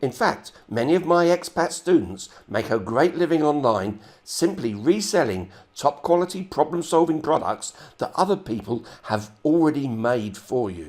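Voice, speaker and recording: A fairly high-pitched man with vocal fry speaks at a moderate pace, his pitch swinging very widely. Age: 70s. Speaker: online marketer. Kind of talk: sales pitch.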